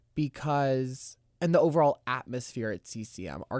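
An ordinary speaking voice from a man with an American accent, medium pitch and ordinary pitch variation, at a fairly slow pace, in a dry, close sound with no echo on a very clean recording with a silent background. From Florida, Tallahassee. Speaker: musical theater student. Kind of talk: casual chat.

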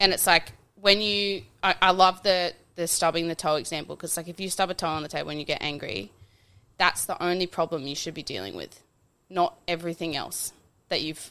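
A woman with a fairly low pitch and vocal fry speaks at a fairly quick pace in a bright, sharp tone, her loudness swinging widely while her intonation stays fairly even, on a very clean recording with a silent background. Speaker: podcast co-host. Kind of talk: casual podcast conversation.

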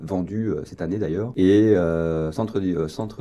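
Dark, mellow tone at a fairly slow pace, with fairly even intonation. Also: man. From western France, near La Rochelle. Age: 30s. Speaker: director of a business club. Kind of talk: radio interview. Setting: radio studio.

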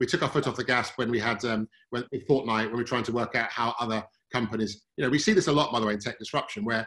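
A man talks at a medium pitch with a British accent. His tone is bright and sharp, with ordinary pitch variation. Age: 40s. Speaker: fund manager. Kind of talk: interview. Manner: halting.

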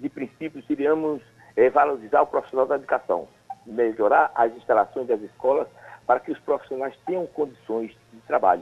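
A man speaks at a moderate pace with a fairly high pitch. His pitch varies an ordinary amount, while his loudness swings widely. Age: 60s. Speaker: mayoral candidate, journalist. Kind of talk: political interview. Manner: halting, many fillers.

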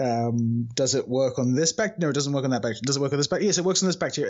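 A man with a British accent at a very fast pace. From UK. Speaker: research scientist. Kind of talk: casual interview chat.

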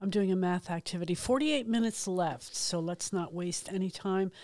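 On a very clean recording with a silent background, the voice moves at a fairly slow pace with ordinary pitch variation. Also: woman. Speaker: radio host. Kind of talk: relaxed community radio DJ patter, warm and chatty, introducing and back-announcing songs. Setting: radio studio broadcast. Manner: laid-back, conversational, enthusiastic about music, with fillers like um and uh; friendly, upbeat, unscripted.

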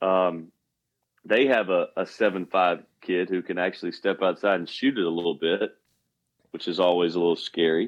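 His pitch very deep and low, a man delivers his words with fairly even intonation and a moderate rate. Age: 40s. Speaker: basketball coach. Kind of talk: casual sports chat.

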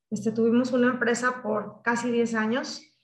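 This female voice sits high in pitch. She keeps a moderate tempo. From Michoacán, Mexico. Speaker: technology sales executive. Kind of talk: interview. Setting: video call.

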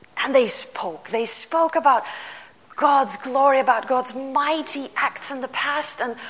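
There is noticeable background noise as a woman speaks with a Lithuanian accent. Her pitch is high, and her pace is fairly slow. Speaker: pastor. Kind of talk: sermon.

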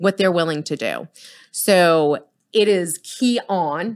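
A woman with a plain, everyday voice speaks with a fairly low pitch, an American accent and lively intonation. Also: very clean recording, silent background. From Boston. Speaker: realtor and team leader. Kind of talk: casual interview.

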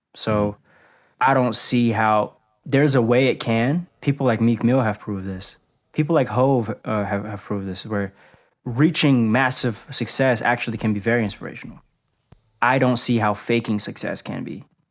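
A man with an American accent and an unremarkable speaking voice talks at a moderate pace, medium in pitch, with ordinary pitch variation. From Boston, US. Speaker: rapper. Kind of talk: casual chat.

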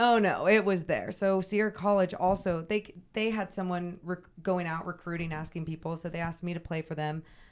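A woman with an American accent and an ordinary speaking voice, fairly low in pitch, at a fairly quick pace with fairly even intonation. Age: 30s. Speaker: sports broadcaster. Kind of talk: casual interview.

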